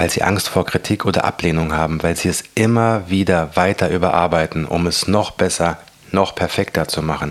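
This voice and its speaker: Soft-spoken delivery with fairly even intonation comes at a moderate pace over noticeable background noise. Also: man. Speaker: motivational podcaster and author. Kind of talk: reading aloud from own book.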